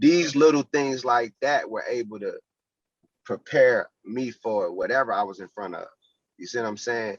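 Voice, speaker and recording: A man with an American accent speaks at a moderate pace and medium pitch, with ordinary pitch variation and big swings in loudness. It is a plain, everyday voice, with a dry, close sound and no echo. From North Carolina (Charlotte). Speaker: youth boxing program founder. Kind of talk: podcast interview.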